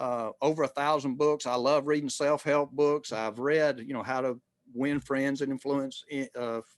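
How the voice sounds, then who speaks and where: Recorded with a dry, close sound and no echo, a man with a Southern US accent speaks at a moderate pace in a fairly high pitch. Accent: Southern US (Georgia). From US South, rural Georgia. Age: 60s. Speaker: retired marketing executive. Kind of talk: interview conversation. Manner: halting, many fillers and restarts.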